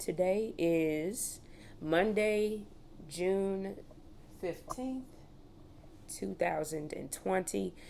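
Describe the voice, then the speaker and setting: A woman speaks with a dark, mellow tone. Her pace is very slow. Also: medium pitch for a woman, ordinary pitch variation. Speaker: oral history interviewer. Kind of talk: interview question.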